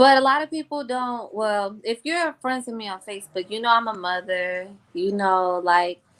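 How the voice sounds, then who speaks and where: A woman with a slight Southern US accent talks in a fairly high voice with hardly any pauses, lively intonation, and big swings in loudness. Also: moderate pace, very clean recording, silent background. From Jacksonville, Florida. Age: 20s. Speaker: R&B singer and entrepreneur. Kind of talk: podcast interview. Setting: live video podcast.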